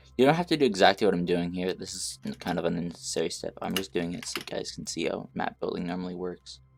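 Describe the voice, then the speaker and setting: Over music in the background, a man speaks at a very fast pace with hardly any pauses. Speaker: game dev tutorial youtuber. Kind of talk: tutorial. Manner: halting, frequent fillers.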